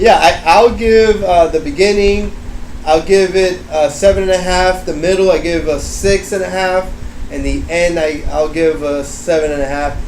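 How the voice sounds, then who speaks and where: A high-pitched male voice at a moderate pace, ordinary pitch variation, noticeable background noise and audible room echo. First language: not English. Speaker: book reviewer. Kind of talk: casual chat. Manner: halting.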